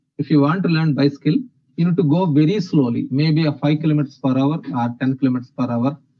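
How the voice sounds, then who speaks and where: A man's unremarkable speaking voice, fairly high in pitch, at a fairly quick pace with ordinary pitch variation. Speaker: software trainer. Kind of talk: lecture.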